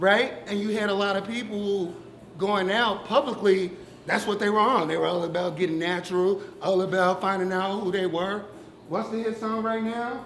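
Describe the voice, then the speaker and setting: Loud and high in pitch, a man speaks at a moderate pace amid noticeable background noise and audible room echo. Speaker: audience member. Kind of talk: public discussion.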